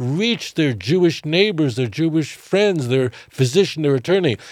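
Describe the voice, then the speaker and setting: A high-pitched man's voice in a New York accent, with very wide pitch swings. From US, Brooklyn, New York. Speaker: rabbi. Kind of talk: podcast interview.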